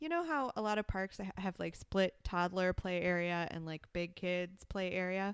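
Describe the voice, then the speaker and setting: In a normal speaking voice, a woman talks at a moderate pace and medium pitch with ordinary pitch variation and hardly any pauses, the sound dry and close with no echo. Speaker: podcast co-host, parent. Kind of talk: casual chat.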